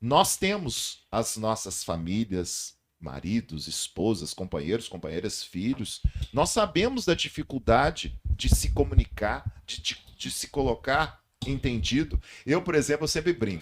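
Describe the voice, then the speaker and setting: A man with a medium pitch and vocal fry speaks fairly slowly, his pitch swinging very widely. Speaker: communication and public speaking teacher. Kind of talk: podcast interview. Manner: loud voice.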